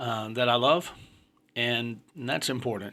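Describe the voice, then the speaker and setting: A man with a bright, sharp tone. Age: 50s. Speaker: podcast host. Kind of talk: casual monologue. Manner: halting, many fillers.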